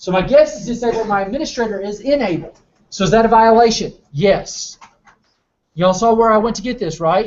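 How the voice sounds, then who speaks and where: Someone with a Southern US accent speaks at a fairly quick pace. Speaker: cybersecurity competition trainer. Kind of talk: lecture.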